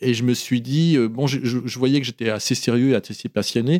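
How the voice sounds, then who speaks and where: This man speaks at a fairly quick pace in a dark, mellow tone. The sound is dry and close with no echo, on a very clean recording with a silent background. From France, Oyonnax (Ain), born in Morocco. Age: 50s. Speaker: photographer. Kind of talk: interview. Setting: studio. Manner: halting.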